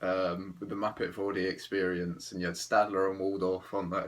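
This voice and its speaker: A man with an English accent, very deep and low in pitch, at a fairly quick pace. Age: 20s. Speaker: travel vlogger. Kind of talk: casual monologue. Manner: hesitant, filler-heavy.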